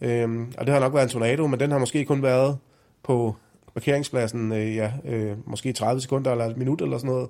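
In an unremarkable speaking voice, a man talks at a medium pitch and a moderate pace with ordinary pitch variation, recorded very cleanly against a silent background. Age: 40s. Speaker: meteorologist. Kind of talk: explanatory interview for children.

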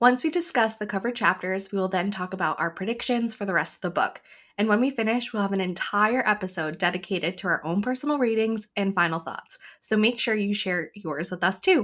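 A woman's medium-pitched, normal speaking voice at a fairly quick pace, with ordinary pitch variation. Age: 30s. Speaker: book podcast co-host. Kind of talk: casual chat.

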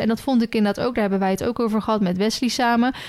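A woman's medium-pitched, monotone, flat delivery on a very clean recording with a silent background. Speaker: podcast co-host. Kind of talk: casual chat.

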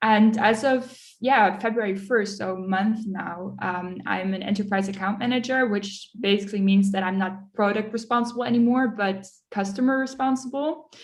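A woman at medium pitch speaks in a somewhat breathy voice at a moderate pace with hardly any pauses and fairly even intonation, with audible room echo. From Netherlands, then Munich from age 11. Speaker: enterprise account manager. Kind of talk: interview.

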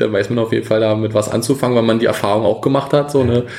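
A man speaks with fairly even intonation. Noticeable background noise can be heard. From Brandenburg, eastern Germany. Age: 20s. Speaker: amateur footballer and police officer. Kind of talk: casual interview. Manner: hesitant, many fillers; calm, relaxed.

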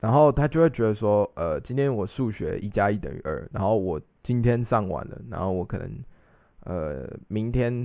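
On a very clean recording with a silent background, a man's fairly low, dark, mellow voice moves with lively intonation. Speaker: translator and podcast co-host. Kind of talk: casual chat.

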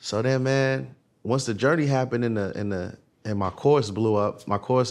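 This man has an ordinary speaking voice with medium pitch and ordinary pitch variation. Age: 30s. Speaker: trucking dispatch course entrepreneur. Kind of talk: casual chat.

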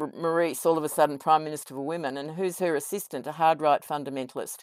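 A woman with an Australian accent talks at a very fast pace and a very deep, low pitch, in a very clean recording with a silent background and a dry, close sound with no echo. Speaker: podcast co-host. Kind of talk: interview. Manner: enthusiastic.

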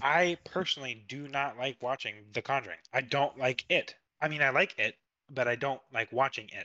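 A man with a bright, sharp tone speaks at a fairly high pitch and moderate pace. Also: ordinary pitch variation. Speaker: podcast co-host. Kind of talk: casual chat.

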